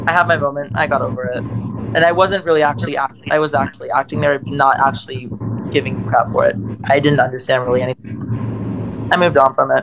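The speaker talks very fast with an American accent. Noticeable background noise runs underneath. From Maryland. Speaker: livestream caller; caller. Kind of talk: heated debate. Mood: defensive, upset. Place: home room. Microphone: phone near.

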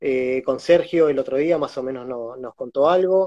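This man has a dark, mellow tone and a Rioplatense accent. He talks at a fairly slow pace. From Argentina. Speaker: concert photographer and interviewer; interviewer. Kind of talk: casual interview. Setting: Instagram live video call. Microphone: video call.

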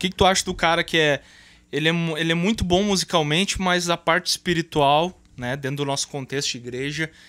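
A man talks at a fairly quick pace with ordinary pitch variation. His tone is bright and sharp. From Brazil. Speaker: podcast host. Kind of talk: casual chat. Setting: studio. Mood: reflective, earnest. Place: studio. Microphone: studio mic.

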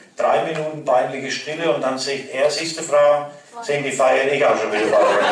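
In a Franconian accent, a man speaks at a moderate pace with audible room echo and light background noise. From Lower Franconia. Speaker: cabaret performer. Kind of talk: dialect cabaret performance. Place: hall.

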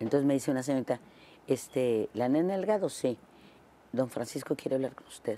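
A woman speaks in a very deep, low pitch. Her intonation is lively and her pace moderate. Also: dry sound with no echo. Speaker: interview guest. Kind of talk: interview answer, storytelling. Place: studio. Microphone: lapel.

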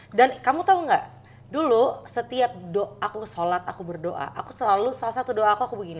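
Talking at a fairly quick pace with hardly any pauses, a woman with a fairly high voice swings very widely in pitch and sharply in loudness. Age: 30s. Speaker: content creator. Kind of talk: casual chat. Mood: warm, earnest. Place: home room.

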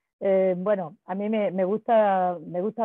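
The delivery is monotone and flat, with a quiet background and a dry sound with no echo. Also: woman. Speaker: audience member, feminist association member; audience member. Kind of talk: spontaneous comment in video call Q&A. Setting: video call. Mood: warm, appreciative. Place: home room. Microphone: earbuds.

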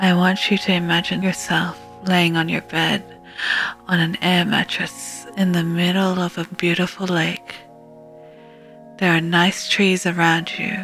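Fairly low-pitched woman speaking at a fairly slow pace with monotone, flat intonation and long, frequent pauses, music in the background. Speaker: VTuber. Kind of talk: guided sleep meditation. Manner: slow, calm.

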